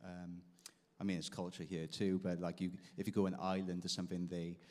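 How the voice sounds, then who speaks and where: Very deep and low, this man's voice has a dark, mellow tone and a monotone, flat intonation, with a Welsh accent. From South Wales. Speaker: guitarist. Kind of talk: interview. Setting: stage with audience.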